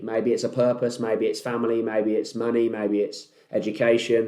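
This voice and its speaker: Here a man talks at a fairly quick pace, with hardly any pauses. His tone is dark and mellow. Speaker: podcast host, entrepreneur. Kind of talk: casual monologue. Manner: loud; laid-back.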